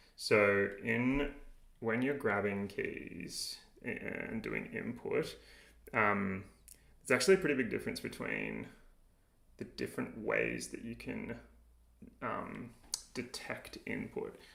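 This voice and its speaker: With an Australian accent, a man speaks at a very slow pace. His speech has long, frequent pauses. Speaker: game developer streamer. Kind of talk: live coding tutorial. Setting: livestream. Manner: casual, many filler words.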